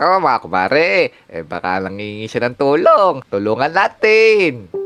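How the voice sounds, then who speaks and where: Putting on a character voice, a man speaks fairly slowly at a medium pitch with very wide pitch swings. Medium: machinima.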